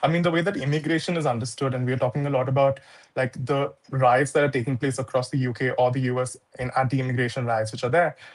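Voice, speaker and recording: Somewhat breathy, a man with a non-native accent talks at a very fast pace in a fairly even intonation. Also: medium pitch for a man. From India. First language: not English. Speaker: activist writer. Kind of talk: panel discussion.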